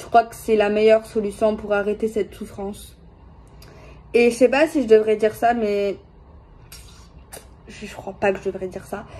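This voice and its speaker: The speaker is soft-spoken and keeps a moderate pace. The intonation stays fairly even. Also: woman. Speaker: tarot card reader. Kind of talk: tarot reading video. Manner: hesitant, many fillers.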